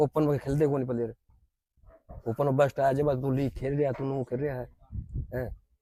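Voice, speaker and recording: Over a dry, close sound with no echo, a man speaks in a monotone, flat intonation at medium pitch with a dark, mellow tone and long, frequent pauses. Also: moderate pace. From Haryana. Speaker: former kabaddi player. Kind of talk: interview.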